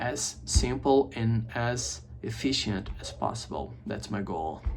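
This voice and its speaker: With audible room echo, a man speaks in a Brazilian accent. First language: Portuguese. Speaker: English teacher. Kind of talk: casual chat. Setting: home office video setup.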